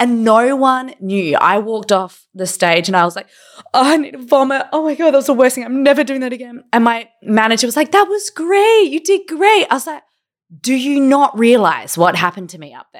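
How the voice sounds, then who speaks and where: A woman speaks at a fairly quick pace with an Australian accent, her high pitch swinging very widely and her loudness rising and falling in big swings. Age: 30s. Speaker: podcast co-host. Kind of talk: casual chat. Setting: hotel room, video call.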